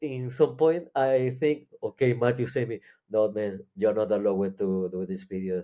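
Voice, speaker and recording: A man talks with a non-native accent and a dark, mellow tone. His intonation is lively and his pace moderate. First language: Spanish or Catalan. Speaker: psychedelic experience sharer. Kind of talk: interview. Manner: halting.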